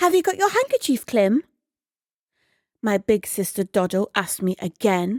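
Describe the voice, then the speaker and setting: A woman talks in a calm, gentle tone at a fairly high pitch, with very wide pitch swings. The recording is very clean, with a silent background. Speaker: narrator. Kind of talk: sleep story. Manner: soft-spoken; slow.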